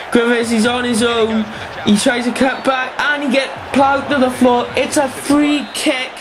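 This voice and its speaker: An animated tone at a fairly slow pace, with noticeable background noise. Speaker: gaming YouTuber. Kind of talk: video game commentary, casual play-by-play over gameplay; live-style sports commentary of a FIFA match. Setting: home, playing at a desk. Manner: animated, excitable on goals, rising pitch on 'It's in!'; hesitant, filler-heavy with many ums and uhs.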